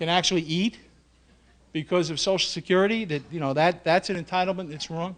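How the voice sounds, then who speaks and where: Here is a man with a New York accent and a high pitch. He talks at a fairly quick pace. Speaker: union president. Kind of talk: speech. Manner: animated.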